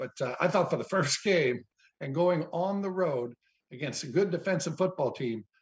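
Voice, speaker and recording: With ordinary pitch variation and a somewhat breathy quality, a man talks at a moderate pace. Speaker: football analyst. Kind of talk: casual chat.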